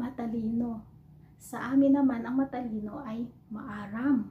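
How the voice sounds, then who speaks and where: This woman speaks fairly slowly in a high pitch, her intonation fairly even. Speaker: overseas Filipino worker vlogger. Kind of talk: casual vlog, teaching words to camera. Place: home room. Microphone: phone near.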